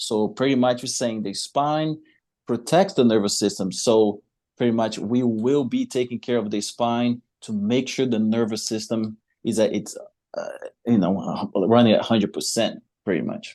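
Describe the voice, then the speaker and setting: A man with a slight Brazilian accent speaks at a moderate pace in a dark, mellow tone, with medium pitch, ordinary pitch variation and a quiet background. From Brazil, Salvador, Bahia. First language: Portuguese. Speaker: chiropractor. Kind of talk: interview.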